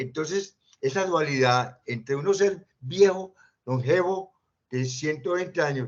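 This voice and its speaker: Very slowly, a man talks in a fairly high pitch with ordinary pitch variation. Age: 80s+. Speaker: retired engineer, forum participant. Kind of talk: discussion forum.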